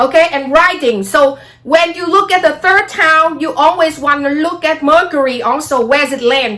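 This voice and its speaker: Amid noticeable background noise, a woman with a Vietnamese accent talks in a raised, projected voice at a high pitch, with ordinary pitch variation and hardly any pauses. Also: moderate pace. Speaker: astrology vlogger. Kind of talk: casual monologue vlog.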